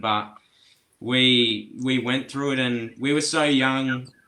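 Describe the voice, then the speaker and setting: Against a silent background in a very clean recording, a man with a bright, sharp tone speaks at a medium pitch in a monotone, flat intonation. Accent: Australian. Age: young. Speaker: musician. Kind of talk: interview answer.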